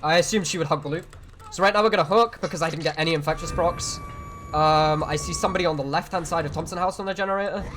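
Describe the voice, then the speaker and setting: The speaker talks at a very fast pace. Music plays in the background. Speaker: video game streamer. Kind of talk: gameplay commentary. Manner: casual.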